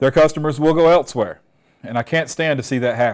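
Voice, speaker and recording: Ordinary pitch variation in a Southern US accent, against a quiet background. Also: man. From Alabama. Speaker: technical trainer. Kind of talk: webinar presentation. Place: studio. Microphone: lapel.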